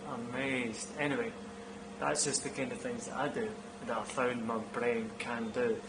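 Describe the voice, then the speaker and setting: A man speaks at a moderate pace and medium pitch, with very wide pitch swings. Audible room echo and noticeable background noise are present. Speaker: vlogger. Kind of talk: casual vlog monologue.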